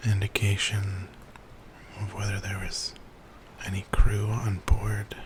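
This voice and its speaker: Someone whispers, soft-spoken, over noticeable background noise. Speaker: ASMR channel host. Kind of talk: gaming walkthrough commentary. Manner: soft-spoken, whispering, relaxing.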